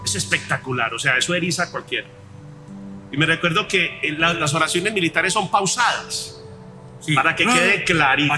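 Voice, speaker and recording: Music plays behind a man with a high-pitched voice. He talks at a moderate pace with lively intonation. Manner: forceful, clear.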